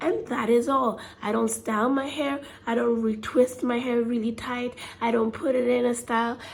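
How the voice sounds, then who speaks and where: The speaker keeps a moderate pace and a fairly even intonation against noticeable background noise. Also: woman. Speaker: hair care vlogger. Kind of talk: casual talk to camera.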